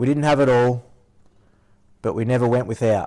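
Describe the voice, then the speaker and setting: On a very clean recording with a silent background, a man with a rural Australian accent speaks at a moderate pace in a dark, mellow, medium-pitched voice with fairly even intonation. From rural Victoria, Australia. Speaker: podcast host, former shearer. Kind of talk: reading aloud a prepared intro; casual chat.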